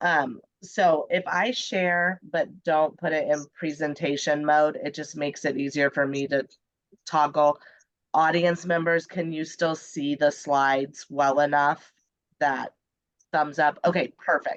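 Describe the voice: A woman speaks slowly, with a nasal sound and a low pitch. Her intonation stays fairly even.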